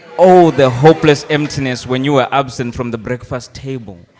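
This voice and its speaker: A normal speaking voice at a moderate pace. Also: man. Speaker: spoken word poet. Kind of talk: live comic poetry performance. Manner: mock-solemn, playful.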